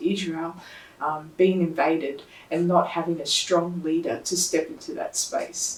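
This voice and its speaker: Softly spoken, a woman with a fairly low pitch talks at a fairly slow pace amid noticeable background noise and audible room echo. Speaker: lay preacher. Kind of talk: sermon. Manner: soft-spoken.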